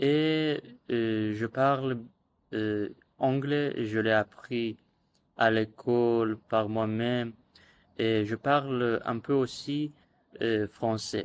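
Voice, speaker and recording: A man talks very slowly, pausing often and at length, with a medium pitch and fairly even intonation. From Iran. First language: Azerbaijani (speaking French). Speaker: language learner vlogger. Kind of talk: casual monologue vlog. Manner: halting, many hesitations.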